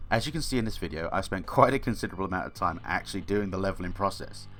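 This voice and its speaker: A man with a British accent talks at a very fast pace. His voice is fairly low, with lively intonation. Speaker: gaming lore youtuber. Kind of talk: casual lore explainer commentary.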